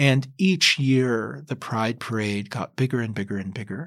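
A man with an American accent speaks at a fairly slow pace in an ordinary speaking voice. The pitch varies in an ordinary way, and the recording is very clean with a silent background. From US South, Kentucky. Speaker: novelist. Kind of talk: interview.

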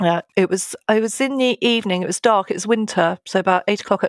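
In a very clean recording with a silent background, a woman speaks at a moderate pace with fairly even intonation. The sound is dry and close, with no echo. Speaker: police detective. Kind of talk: interview.

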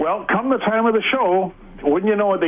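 Against noticeable background noise, a man speaks at a very fast pace with ordinary pitch variation. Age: 60s. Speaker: radio caller. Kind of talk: casual storytelling.

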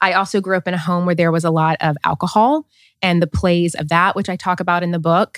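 On a very clean recording with a silent background and a dry, close sound with no echo, a woman with a Southern US accent talks very fast in a fairly low pitch with fairly even intonation. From US South, small-town Tennessee. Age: 30s. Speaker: author and podcaster. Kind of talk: interview.

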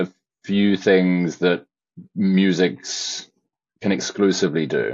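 A man's very deep, low voice at a very slow pace. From England, Shropshire. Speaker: film composer. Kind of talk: interview. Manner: hesitant, many fillers.

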